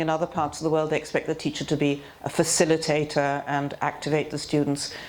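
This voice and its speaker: With a British accent, a woman speaks at a fairly quick pace in a very deep, low voice. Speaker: teacher trainer. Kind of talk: seminar lecture.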